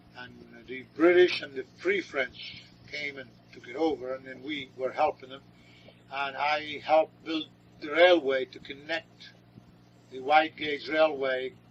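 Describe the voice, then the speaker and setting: Amid noticeable background noise, a man with a fairly high pitch speaks at a fairly slow pace, his intonation fairly even, his loudness swinging widely, with long, frequent pauses. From northern Lebanon. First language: Arabic. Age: 60s. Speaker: grandfather interviewee. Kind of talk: oral history interview. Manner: halting.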